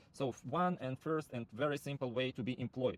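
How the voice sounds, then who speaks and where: The man has a medium pitch and ordinary pitch variation. His sound is dry with no echo. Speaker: rental platform founder; presenter. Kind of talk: sales pitch. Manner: halting, many fillers. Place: car. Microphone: phone near.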